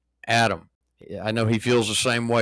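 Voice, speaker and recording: In a very clean recording with a silent background, a man with an American accent speaks at a fairly quick pace in a fairly low pitch with a bright, sharp tone. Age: 60s. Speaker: podcast host, army veteran. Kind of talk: casual political talk show.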